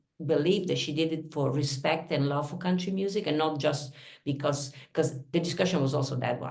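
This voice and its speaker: A woman with an Italian accent, a very deep, low pitch, ordinary pitch variation and a moderate pace, in audible room echo. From Italy. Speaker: singer-songwriter. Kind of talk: interview conversation.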